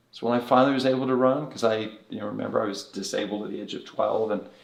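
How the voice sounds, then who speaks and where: A man races at a very fast pace, his intonation fairly even, with noticeable background noise around him. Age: 60s. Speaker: bodywork therapy director. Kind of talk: podcast interview. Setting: podcast recording in Las Vegas.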